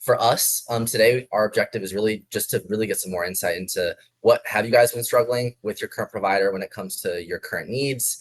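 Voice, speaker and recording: A man at a very fast pace, in an American accent. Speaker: sales director. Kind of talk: business video call. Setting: video call.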